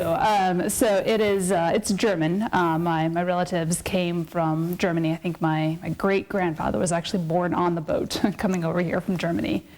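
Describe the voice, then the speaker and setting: Spoken in an Upper Midwest accent, the voice keeps a moderate pace and fairly even intonation. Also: woman. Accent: Upper Midwest American. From South Dakota (Sioux Falls). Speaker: political science academic. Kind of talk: interview.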